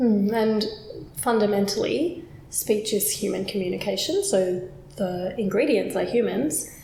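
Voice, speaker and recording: A woman at medium pitch, lively in intonation and fairly slow in pace, with noticeable background noise. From Australia. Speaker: accent coach, phonetician. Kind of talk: unscripted conversational explainer.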